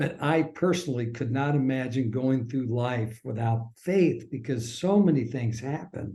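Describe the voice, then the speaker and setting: A man talks at a fairly slow pace, with hardly any pauses. His voice is somewhat breathy and sits at a medium pitch. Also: ordinary pitch variation. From US Midwest, suburban Kansas City Missouri. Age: 60s. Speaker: former sports broadcaster. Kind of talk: interview conversation. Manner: halting.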